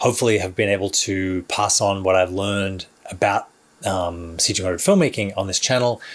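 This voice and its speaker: At a moderate pace, a man speaks with a very deep, low pitch and fairly even intonation. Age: 40s. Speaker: filmmaker and YouTuber. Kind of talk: vlog monologue to camera. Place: studio.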